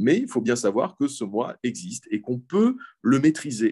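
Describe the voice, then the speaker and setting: Moderate pacing from a male speaker, recorded dry and close without any echo. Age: 40s. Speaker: philosophy teacher. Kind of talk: interview.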